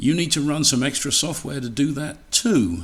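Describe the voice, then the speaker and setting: The speaker talks at a moderate pace in an English accent, with ordinary pitch variation. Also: man. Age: old. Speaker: radio equipment presenter. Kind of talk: webinar talk. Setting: home livestream by fireplace. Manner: casual, halting with fillers.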